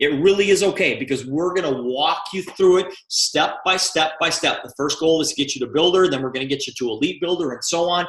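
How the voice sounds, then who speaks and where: Fast-moving with hardly any pauses, a man speaks at a fairly quick pace and a high pitch, with ordinary pitch variation. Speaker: company president. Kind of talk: sales pitch. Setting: video call.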